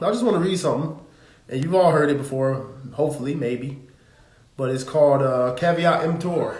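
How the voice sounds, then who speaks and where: Over noticeable background noise and audible room echo, a man with an American accent speaks at a fairly quick pace and a fairly high pitch, with ordinary pitch variation and long, frequent pauses. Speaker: religious teacher. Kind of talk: live stream teaching. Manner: casual, conversational.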